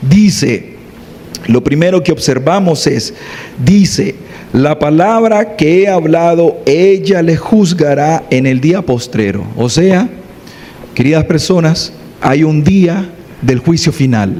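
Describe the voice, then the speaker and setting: Over noticeable background noise, a man talks at a very slow pace and fairly high pitch with lively intonation, very even loudness, and long, frequent pauses. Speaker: preacher. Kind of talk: sermon. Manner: soft-spoken.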